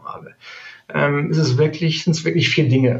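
Delivered at a fairly quick pace, a plain, everyday voice carries ordinary pitch variation. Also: man. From Neuss, Rhineland, Germany. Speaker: sales manager. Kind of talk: interview.

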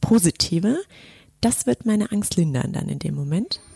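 A woman's somewhat breathy voice has a dark, mellow tone, captured with a dry, close sound and no echo. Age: 30s. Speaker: podcast host and business manager. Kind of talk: casual chat. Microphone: poor sound quality in first episode.

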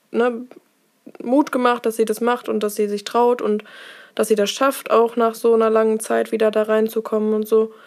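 Monotone, flat intonation at a moderate pace. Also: woman. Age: 20s. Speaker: nurse. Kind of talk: casual interview. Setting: office.

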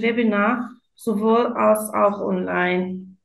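Audible room echo surrounds the speech. The woman talks in a non-native accent. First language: not German (speaking German). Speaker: nurse. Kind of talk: interview. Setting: remote call.

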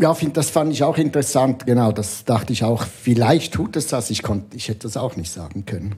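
At a fairly quick pace, a man talks with hardly any pauses. His tone is dark and mellow, and somewhat breathy. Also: medium pitch for a man, lively intonation. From Switzerland. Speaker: comic illustrator. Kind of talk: casual chat. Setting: bookshop bar.

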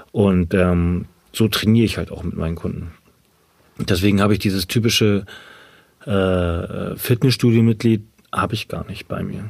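A man talks at a moderate pace with fairly even intonation and a fairly low pitch. His pauses are long and frequent. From northern Germany, Ahrensburg near Hamburg. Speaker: personal trainer and CrossFit athlete. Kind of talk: interview, casual chat.

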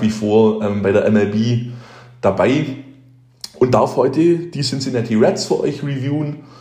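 A man with a medium pitch speaks at a fairly slow pace amid audible room echo. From Heidenheim, Swabia, Germany. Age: 20s. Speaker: baseball fan, former youth player. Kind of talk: recorded monologue season review.

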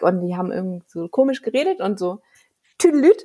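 A woman speaks with very wide pitch swings. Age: 30s. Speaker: children's book author and illustrator. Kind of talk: interview. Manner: halting.

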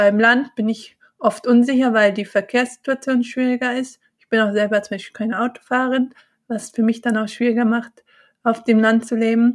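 Pitched fairly high, a woman talks at a moderate pace in a monotone, flat intonation. Her loudness swings a lot. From Bonn, Germany. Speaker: mindfulness and yoga teacher. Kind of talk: casual interview.

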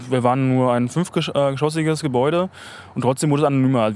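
A man at a very fast pace, medium pitch and fairly even intonation. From East Berlin (Hellersdorf). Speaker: spokesperson of a local civic alliance. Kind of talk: interview. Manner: hesitant, many fillers.

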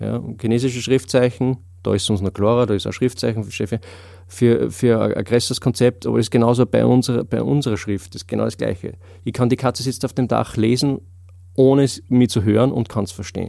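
A man's medium-pitched voice with vocal fry, a dark, mellow tone, ordinary pitch variation and a fairly quick pace. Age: 30s. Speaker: memory and learning trainer. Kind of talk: casual interview. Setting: studio.

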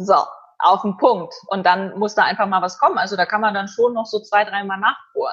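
At a fairly quick pace, a woman with an unremarkable speaking voice talks in a medium pitch with fairly even intonation. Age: young. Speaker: event host and journalist. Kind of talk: interview. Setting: video call.

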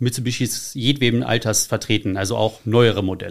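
Recorded very cleanly with a silent background, a man uses an ordinary speaking voice at a medium pitch with fairly even intonation. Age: 30s. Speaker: car enthusiast and community founder. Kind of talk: casual interview. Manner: frequent filler sounds.

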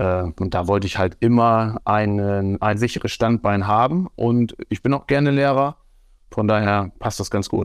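A man with a normal speaking voice, fairly low in pitch, talks at a fairly slow pace with ordinary pitch variation, the sound dry and close with no echo over a quiet background. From Germany, Osnabrück. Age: 40s. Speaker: football referee and teacher. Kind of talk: interview conversation.

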